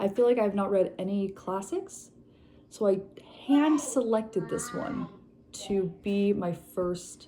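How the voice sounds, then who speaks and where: Soft-spoken and pitched at a medium level, this woman talks with lively intonation. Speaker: book vlogger. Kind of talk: casual chat. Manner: low energy.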